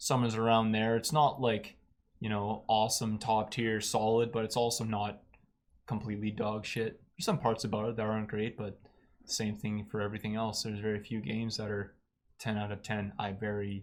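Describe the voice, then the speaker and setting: Over a very clean recording with a silent background, a man with a fairly low pitch talks at a fairly quick pace in monotone, flat intonation. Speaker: podcast co-host. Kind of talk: casual chat. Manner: loud.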